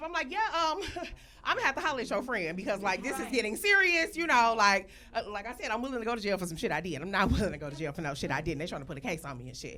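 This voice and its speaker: Over noticeable background noise, a woman talks very fast at a fairly high pitch, with very wide pitch swings and big swings in loudness. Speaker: storyteller. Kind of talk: comedic storytelling to live audience.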